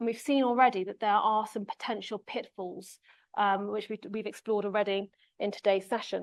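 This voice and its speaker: Against a quiet background, a woman with an English accent talks fairly quickly at a medium pitch. Her intonation is monotone and flat, and the sound is dry and close with no echo. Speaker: conference speaker, associate professor. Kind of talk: conference presentation. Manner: fast.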